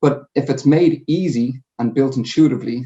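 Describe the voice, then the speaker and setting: A man speaks with a Dublin accent. His pitch is medium and his intonation fairly even. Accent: Dublin Irish. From Ireland, Dublin. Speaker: sales manager. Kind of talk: conference presentation. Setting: home. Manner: hesitant fillers.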